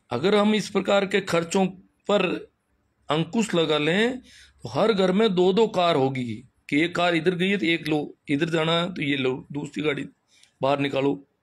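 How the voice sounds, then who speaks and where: Ordinary pitch variation runs through this man's high-pitched speech. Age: 50s. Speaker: schoolteacher and social commentator. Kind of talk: live-stream talk. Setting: Facebook live. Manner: animated.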